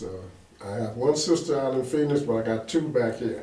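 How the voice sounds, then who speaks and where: Speech at a moderate pace with fairly even intonation, set against noticeable background noise and audible room echo. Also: man. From Kansas City, Kansas. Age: 70s. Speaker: retired businessman and community leader. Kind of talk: interview.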